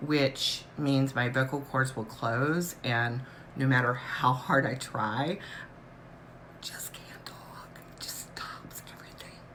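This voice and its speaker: A woman whispers at a very slow pace. Audible room echo surrounds her. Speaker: patient vlogger sharing chronic illness experience. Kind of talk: casual live stream talk, personal illness story. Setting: live stream.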